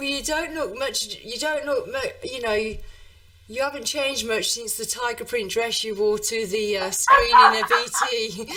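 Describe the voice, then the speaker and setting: Moderate pace, with noticeable background noise and audible room echo. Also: woman. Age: 50s. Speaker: talk show host. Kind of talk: interview.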